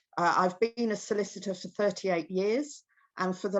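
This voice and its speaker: A woman with a British accent and fairly even intonation. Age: 60s. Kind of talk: presentation talk. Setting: video call from her kitchen.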